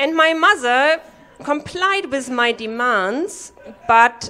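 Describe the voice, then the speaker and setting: Very slowly, a woman with a German accent speaks with very wide pitch swings. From Germany. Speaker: comedy workshop participant. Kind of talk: stand-up. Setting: stage with audience.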